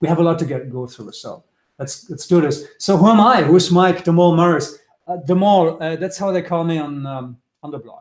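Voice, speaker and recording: A man talks at a fairly quick pace with a high pitch and ordinary pitch variation. His loudness swings widely. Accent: German. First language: German. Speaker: trader. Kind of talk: webinar presentation. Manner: fast; halting.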